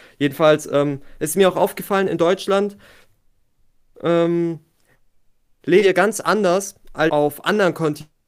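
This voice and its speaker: A high-pitched man at a fairly slow pace, fairly even intonation, long and frequent pauses. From Germany. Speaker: podcast guest. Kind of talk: casual chat.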